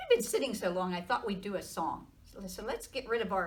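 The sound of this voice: Reading in an unforced voice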